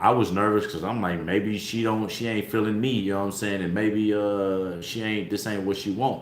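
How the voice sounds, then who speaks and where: Speaking at a moderate pace with hardly any pauses, a man keeps a monotone, flat intonation at a fairly low pitch, with audible room echo. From Oklahoma. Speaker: live streamer, co-host with partner. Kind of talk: casual chat.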